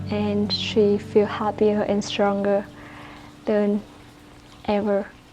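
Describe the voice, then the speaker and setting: Over noticeable background noise, a woman of medium pitch speaks with monotone, flat intonation at a very slow pace. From Vietnam. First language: Vietnamese. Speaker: Pilates teacher and YouTuber. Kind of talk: casual Q&A vlog. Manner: chatty, slightly halting.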